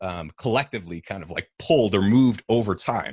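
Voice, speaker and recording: A man with an American accent and a fairly low pitch speaks in a normal speaking voice at a moderate pace, with a dry, close sound, no echo and a quiet background. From New Hampshire, US. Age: 30s. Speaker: health podcaster and musician. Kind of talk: casual interview chat.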